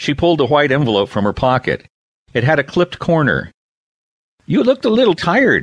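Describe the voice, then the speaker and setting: A man speaks at a fairly high pitch with some vocal fry and very wide swings in pitch. The pace is fairly quick, and the sound is dry and close with no echo. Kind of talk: audiobook narration of a children's novel. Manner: smooth, measured storytelling pace with shifting character voices, expressive in dialogue.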